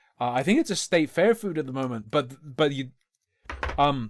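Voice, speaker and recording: A man's voice swings very widely in pitch. The recording is very clean with a silent background. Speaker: streamer reacting to videos. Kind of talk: live stream reaction commentary. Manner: casual, sweary.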